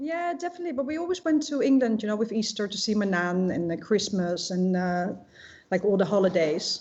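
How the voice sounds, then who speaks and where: A woman speaks with a slight Dutch accent. Her intonation is lively and her pace fairly quick. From Netherlands. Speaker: shop owner. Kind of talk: interview. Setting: live online broadcast. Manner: hesitant, many fillers.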